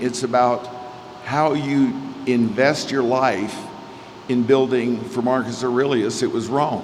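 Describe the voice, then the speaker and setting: Amid noticeable background noise and audible room echo, a man speaks at medium pitch in a flat, monotone delivery. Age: 60s. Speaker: real estate developer. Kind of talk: speech at a gala.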